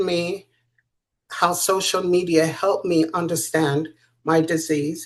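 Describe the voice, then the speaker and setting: A woman talks at a fairly slow pace in an ordinary speaking voice. Her pitch is medium and the background is quiet. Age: 60s. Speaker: author and patient sharing her illness. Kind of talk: interview testimony.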